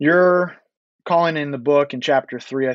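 A man uses a plain, everyday voice, talking at a moderate pace with ordinary pitch variation. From US, DC suburbs. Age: 40s. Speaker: author. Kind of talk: interview.

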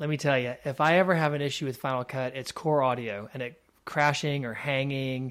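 A man speaks in an ordinary speaking voice at a medium pitch with ordinary pitch variation. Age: 40s. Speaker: video producer. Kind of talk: casual chat. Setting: call.

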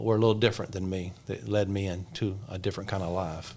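A man with an Alabama accent, fairly low in pitch, at a fairly quick pace in a monotone, flat intonation. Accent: Southern US (Alabama). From US South, south Alabama. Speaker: pastor. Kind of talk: testimony.

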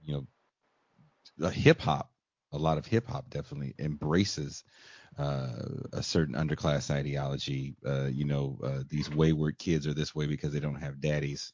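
With an American accent, a man speaks in a very deep, low voice with fairly even intonation. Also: moderate pace. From Richmond, California. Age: 40s. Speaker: podcast host. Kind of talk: interview.

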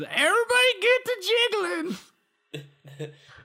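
An extremely high-pitched, put-on character voice. It moves at a fairly slow pace. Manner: playful, exaggerated.

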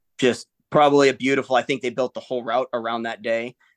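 Very fast and with fairly even intonation, a man with a Midwestern US accent speaks in a dry, close sound with no echo against a quiet background. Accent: General American, Midwestern. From Michigan. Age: 40s. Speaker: Air Force veteran and ultra-endurance athlete. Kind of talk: casual interview.

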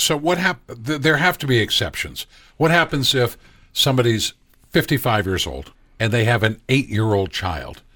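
At a moderate pace, a man with a medium pitch and a bright, sharp tone speaks with vocal fry and very wide pitch swings. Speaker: co-host, lay person asking questions. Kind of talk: casual banter with interview. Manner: joking, playful.

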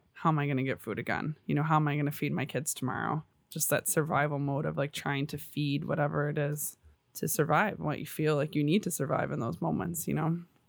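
On a very clean recording with a silent background, a woman with vocal fry and a very deep, low pitch talks at a very fast pace with ordinary pitch variation. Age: 20s. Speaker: podcast guest, host's sister. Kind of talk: casual chat.

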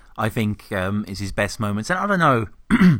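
Recorded very cleanly against a silent background, a man with a British accent talks at a fairly low pitch with ordinary pitch variation. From Britain. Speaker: podcast host. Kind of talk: casual chat. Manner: halting.

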